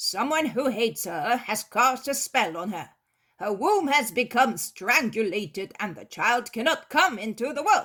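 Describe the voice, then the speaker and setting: In a put-on character voice, a female-sounding speaker talks at a fairly slow pace and fairly high pitch in a very clean recording with a silent background. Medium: read story.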